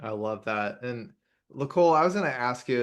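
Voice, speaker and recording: A man with an American accent speaks at a moderate pace in a plain, everyday voice. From United States. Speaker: podcast host and grief coach. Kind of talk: podcast interview.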